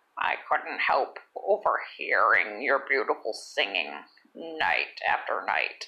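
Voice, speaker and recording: This is a put-on character voice. It comes out croaky and whispering. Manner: coaxing, matchmaking.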